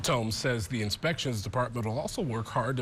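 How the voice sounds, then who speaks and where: The speaker is a man with a medium-pitched voice. There is a somewhat breathy quality to it. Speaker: TV news anchor and reporter. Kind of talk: TV news anchor reading.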